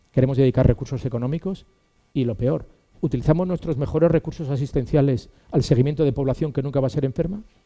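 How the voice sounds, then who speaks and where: With music in the background, a man speaks at a very fast pace, his fairly high pitch showing ordinary variation. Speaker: physician and academic lecturer. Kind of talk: lecture.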